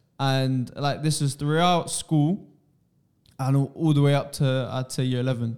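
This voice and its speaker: Here is a man with an ordinary speaking voice at a fairly high pitch. He keeps a moderate pace and fairly even intonation. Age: 20s. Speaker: podcast host. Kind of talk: casual podcast chat.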